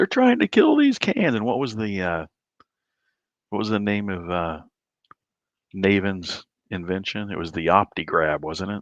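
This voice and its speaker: Quiet and fairly low-pitched, a man speaks with an American accent, ordinary pitch variation and a moderate pace. His long, frequent pauses come through in a dry, close sound with no echo. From Southern Illinois. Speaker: livestream host, amateur astronomer. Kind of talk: casual chat. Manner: hushed, quiet.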